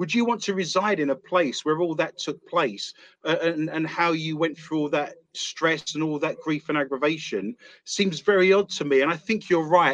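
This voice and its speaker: With a London accent, a man speaks with a fairly high pitch and ordinary pitch variation. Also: moderate pace. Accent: London English, British. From East London, England. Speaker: author and paranormal investigator. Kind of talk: casual interview chat.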